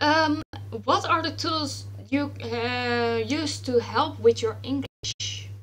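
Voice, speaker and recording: Over music in the background, a woman with a Dutch accent speaks at a very slow pace. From Netherlands. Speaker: writer, panel moderator. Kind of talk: panel discussion. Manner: halting, many fillers.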